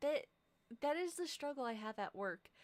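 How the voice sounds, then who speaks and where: A soft-spoken woman talks in a high voice. Her intonation is lively. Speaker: streamer. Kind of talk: casual chat. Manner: quiet, soft-spoken; rambling, sidetracked.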